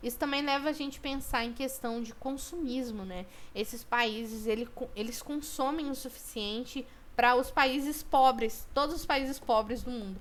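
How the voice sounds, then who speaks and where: High-pitched female speech, its pitch varying in an ordinary way. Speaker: student teacher. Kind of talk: recorded online lesson. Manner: fast. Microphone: poor microphone.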